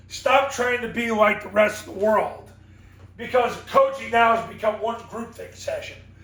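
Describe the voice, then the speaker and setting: Amid noticeable background noise and audible room echo, a man talks at a moderate pace in a high voice. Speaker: football coaching consultant and sport psychologist. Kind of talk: motivational coaching talk.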